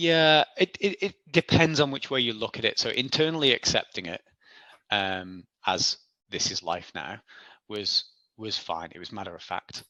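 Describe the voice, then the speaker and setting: With a Manx accent, a man speaks at a moderate pace and medium pitch, using very wide pitch swings, big swings in loudness and a bright, sharp tone, in a dry, close sound with no echo and a quiet background. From Isle of Man. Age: 40s. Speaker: ultra athlete. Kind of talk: interview. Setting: podcast. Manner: halting.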